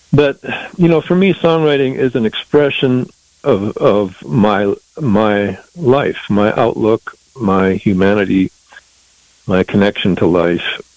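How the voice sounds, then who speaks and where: Amid noticeable background noise, a man with an American accent speaks very slowly at a fairly low pitch, his pitch swinging very widely while his loudness stays very even. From US Southwest, southern Colorado. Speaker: musician and songwriter. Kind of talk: interview. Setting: phone call. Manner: halting, many repeated words.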